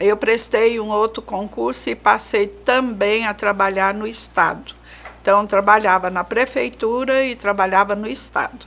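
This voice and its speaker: A woman with a medium pitch and ordinary pitch variation speaks at a very slow pace. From Brazil, Goiânia. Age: 70s. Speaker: retired teacher. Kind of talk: interview.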